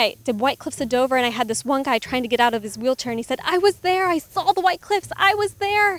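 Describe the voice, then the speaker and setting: With music in the background but a dry sound with no echo, a woman races at a very fast pace in a high pitch, her voice making very wide pitch swings. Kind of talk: interview answer. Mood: earnest, heartfelt. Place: open country. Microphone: handheld.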